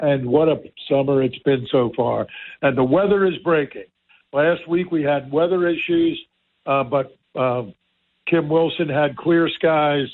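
At a fairly slow pace, the speech holds very even loudness, broken by long, frequent pauses. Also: man, fairly high pitch for a man. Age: 60s. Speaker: radio host. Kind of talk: casual radio talk show chat. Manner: animated, enthusiastic.

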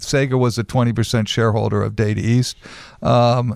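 A man with an American accent speaks very slowly at a medium pitch, his intonation fairly even and the sound dry and close with no echo. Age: 70s. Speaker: pinball company executive. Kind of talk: radio interview. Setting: radio studio.

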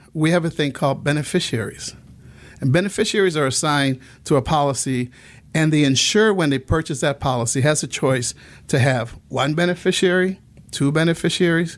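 A man's fairly high voice at a fairly quick pace, with very even loudness, ordinary pitch variation, and a very clean recording over a silent background. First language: Spanish. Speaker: insurance agent. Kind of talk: radio interview.

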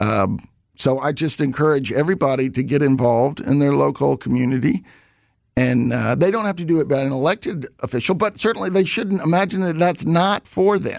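In a Southern US accent, a man talks fairly quickly with lively intonation and a fairly high pitch. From US South, Alabama. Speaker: retiring village president. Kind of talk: radio interview. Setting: studio. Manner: halting.

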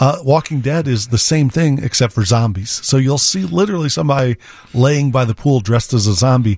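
This voice is somewhat breathy, with lively intonation. Its loudness stays very even. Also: man, medium pitch for a man, fairly quick pace. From Chicago area, Illinois. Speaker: professional photographer. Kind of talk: casual radio interview. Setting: radio studio.

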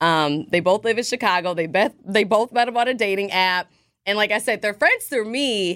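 An ordinary speaking voice from a woman, medium in pitch, with ordinary pitch variation, very even loudness and a moderate pace, on a very clean recording with a silent background. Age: 30s. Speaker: radio host. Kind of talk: casual chat. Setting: studio.

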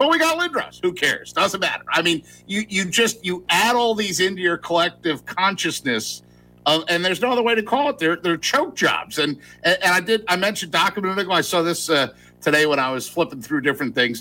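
Using a raised, projected voice, a man talks at a fairly quick pace with high pitch, lively intonation, a bright, sharp tone and very even loudness. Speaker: sports radio guest. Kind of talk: sports talk radio. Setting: hotel bar. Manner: animated.

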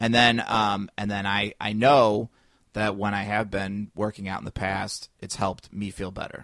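In a Chicago accent, a man talks at a moderate pace with fairly low pitch and monotone, flat intonation over a quiet background. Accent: Midwestern US (Chicago area). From Northwest Indiana. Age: 30s. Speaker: stand-up comic and podcaster. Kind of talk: casual interview chat. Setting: podcast studio with microphones.

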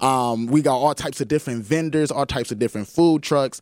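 This man has an unremarkable speaking voice, fairly high in pitch, with fairly even intonation. He talks at a fairly quick pace. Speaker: marketing professional. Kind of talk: casual chat. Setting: studio.

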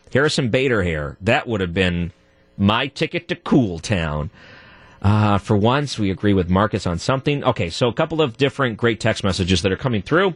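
A man with an American accent and a fairly low pitch shows very wide pitch swings, recorded with a dry, close sound and no echo. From US Midwest. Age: 30s. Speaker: radio host. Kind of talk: talk radio. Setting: studio.

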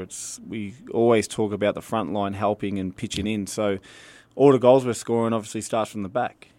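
This man has an Australian accent and a fairly low pitch. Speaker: soccer head coach. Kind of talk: radio interview.

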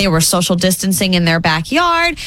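Noticeable background noise runs beneath a voice moving at a fairly quick pace. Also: woman. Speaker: morning radio co-host. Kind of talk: casual chat. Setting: studio.

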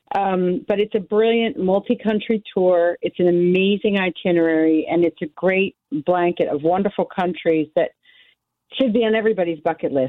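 A woman with an American accent and a plain, everyday voice, medium pitch, ordinary pitch variation, very even loudness and a moderate pace. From United States. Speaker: tour director. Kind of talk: radio interview.

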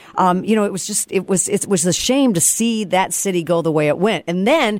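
A woman with an American accent speaks at a moderate pace in a plain, everyday voice with a medium pitch. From Detroit. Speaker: country radio host. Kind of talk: casual chat.

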